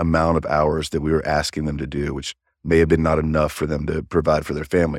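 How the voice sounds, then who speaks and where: In a very clean recording with a silent background and a dry, close sound with no echo, a man with a Kentucky accent speaks at a very deep, low pitch with monotone, flat intonation. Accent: Kentucky American. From Kentucky, Louisville. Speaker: sales manager. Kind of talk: interview. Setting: in person.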